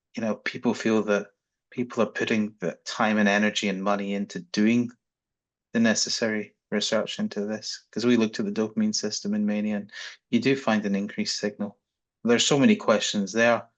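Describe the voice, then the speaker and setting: Against a quiet background, a man with a Scottish accent talks at a fairly quick pace in a fairly low pitch, his intonation monotone and flat. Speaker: psychiatry researcher. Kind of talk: panel discussion. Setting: video call.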